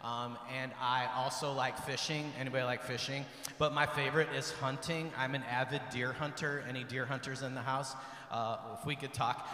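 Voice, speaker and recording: At a moderate pace, a man speaks in a monotone with flat intonation. Room echo is audible. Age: 50s. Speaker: retreat team speaker; speaker. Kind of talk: retreat talk to teens. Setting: church with audience. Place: church. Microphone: handheld.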